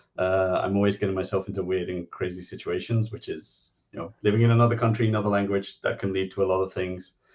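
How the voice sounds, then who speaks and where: Fairly low-pitched man with an English accent, fairly quick pace, monotone, flat intonation and a quiet background. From England. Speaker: game designer and columnist. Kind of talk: interview.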